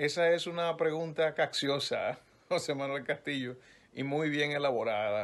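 There's ordinary pitch variation in this man's voice. He speaks at a fairly slow pace. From Dominican Republic. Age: young. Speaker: radio news announcer. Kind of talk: interview answer. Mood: relaxed, lightly joking. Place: home room. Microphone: phone near.

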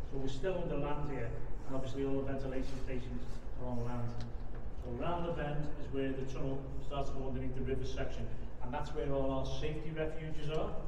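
A man speaks very fast, his loudness very even throughout. Background noise is noticeable and the room echo is audible. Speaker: tunnel tour guide. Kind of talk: guided tour explanation. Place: tunnel cave. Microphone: camera far.

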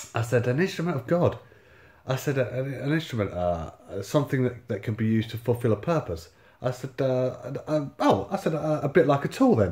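A man talks at a moderate pace with lively intonation and a somewhat breathy voice, against a quiet background. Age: 30s. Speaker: YouTuber and homeless-sector housing worker. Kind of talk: casual storytelling monologue. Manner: halting, many fillers. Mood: wry, exasperated storytelling. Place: home room. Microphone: phone near.

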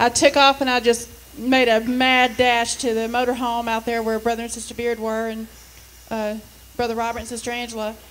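A woman speaks in a fairly high voice with monotone, flat intonation. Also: fairly quick pace. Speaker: church member. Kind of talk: testimony. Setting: church. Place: church. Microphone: handheld.

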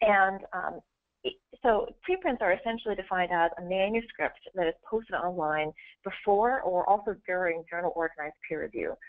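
Against a quiet background, a woman speaks at a medium pitch. Her pace is moderate and her pitch varies in an ordinary way. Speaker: science researcher and preprint advocate. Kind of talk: webinar presentation. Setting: video call. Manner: hesitant, many fillers. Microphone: webcam.

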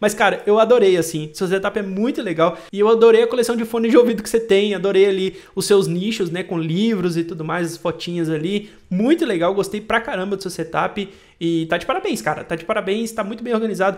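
A high-pitched man at a fairly quick pace with hardly any pauses and ordinary pitch variation, against a quiet background. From Brazil. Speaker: tech YouTuber. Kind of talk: casual vlog commentary, reading viewer emails. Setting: home studio with webcam and microphone. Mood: friendly, enthusiastic. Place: home room. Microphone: studio mic.

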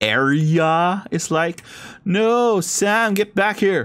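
Ordinary pitch variation in plain reading aloud

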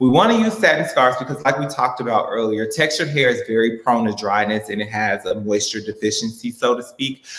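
At a very fast pace with hardly any pauses, the speaker talks with an American accent and fairly even intonation, with audible room echo around the voice. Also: man, medium pitch for a man. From Chicago. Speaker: hairstylist and salon owner; hair stylist educator. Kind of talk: tutorial. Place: studio.

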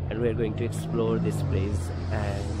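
Heard through loud background noise, the voice moves at a fairly slow pace in a dry sound with no echo. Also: man. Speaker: cruise ship crew member vlogger. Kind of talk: casual vlog chat. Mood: cheerful, laughs often. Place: street. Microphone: phone near.

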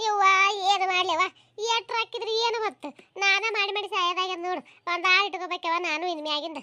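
A woman puts on a cartoonish character voice at an extremely high pitch. Her pitch varies in an ordinary way. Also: moderate pace. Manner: chatty, addresses audience, folksy.

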